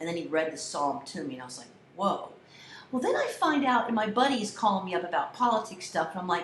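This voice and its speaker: Over noticeable background noise and audible room echo, a woman with an American accent talks at a very fast pace in an animated tone, medium in pitch with very wide pitch swings. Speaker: college communication instructor. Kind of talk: lecture to students. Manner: loud.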